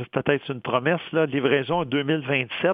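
Speaking at a very slow pace, a man uses a fairly high voice with ordinary pitch variation. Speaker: economics professor, columnist. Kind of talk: radio commentary.

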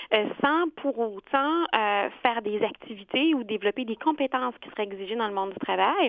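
Lively intonation and a fairly quick pace carry this woman's fairly high pitch. She has an ordinary speaking voice. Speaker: career counselor. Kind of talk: expert interview.

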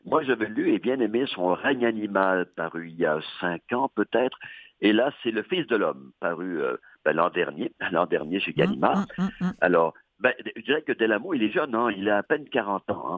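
Very wide pitch swings at a moderate pace. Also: man. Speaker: audiobook reviewer. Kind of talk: casual chat.

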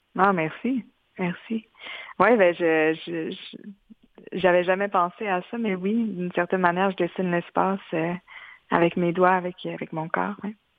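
A woman speaks at a medium pitch with fairly even intonation. Her pace is fairly slow, with long, frequent pauses. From Quebec, Mashteuiatsh community. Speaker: multidisciplinary artist. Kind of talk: interview. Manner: halting.

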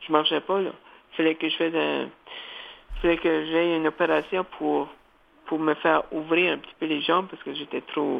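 A man speaks in a fairly high pitch with a monotone, flat intonation. He leaves long, frequent pauses. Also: moderate pace. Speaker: community radio host. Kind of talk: interview. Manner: halting, repeats words.

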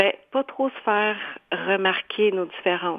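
The clip features an ordinary speaking voice. Pitch moves up and down by a normal amount. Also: woman. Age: 40s. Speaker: painter and author. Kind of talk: radio interview.

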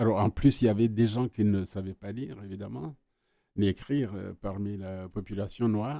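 A man with a plain, everyday voice speaks at a fairly low pitch and moderate pace, with ordinary pitch variation. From Rwanda. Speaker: retired journalist. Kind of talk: radio interview. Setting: studio.

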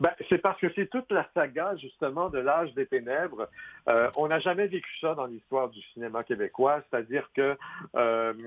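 This man's delivery is fairly slow, and his pitch varies in an ordinary way. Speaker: film critic and author. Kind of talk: interview.

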